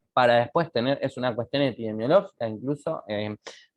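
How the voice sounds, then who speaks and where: With a Uruguayan accent, a man talks at a fairly quick pace. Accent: Uruguayan Spanish (Rioplatense). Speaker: medical lecturer. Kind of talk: lecture. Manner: casual, animated.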